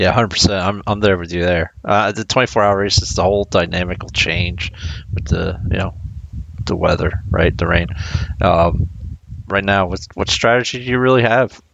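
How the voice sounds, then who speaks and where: A man speaks with a very deep, low pitch and ordinary pitch variation. His pace is moderate, and there is noticeable background noise. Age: middle-aged. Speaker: racing driver and sim racer. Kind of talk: casual chat.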